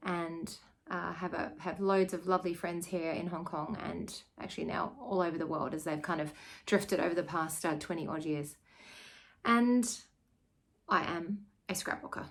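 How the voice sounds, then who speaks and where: In an Australian accent, a woman speaks at a moderate pace with a fairly low pitch and ordinary pitch variation. She leaves long, frequent pauses. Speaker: scrapbooker and teacher. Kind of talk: casual video chat. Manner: casual, with many fillers.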